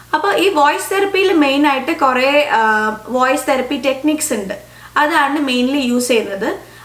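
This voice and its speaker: There is audible room echo around a woman speaking at a high pitch. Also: ordinary pitch variation. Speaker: audiologist and speech language pathologist. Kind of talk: educational explainer to camera. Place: home room.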